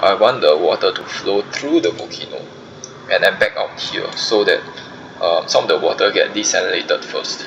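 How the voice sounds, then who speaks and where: Against noticeable background noise, a man with an extremely high voice speaks at a moderate pace with ordinary pitch variation. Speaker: gaming streamer. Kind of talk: gameplay commentary. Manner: soft-spoken; halting, many fillers.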